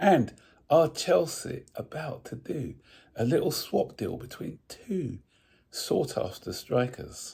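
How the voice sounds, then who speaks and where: Very slowly, a man speaks with vocal fry and a dark, mellow tone, his pitch swinging very widely. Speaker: football channel host. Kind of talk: casual vlog commentary. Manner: hesitant, many fillers.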